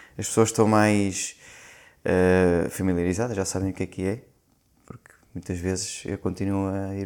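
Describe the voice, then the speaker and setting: A man's fairly low voice, monotone and flat, at a moderate pace. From Portugal, Lisbon. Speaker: nurse. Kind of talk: casual chat.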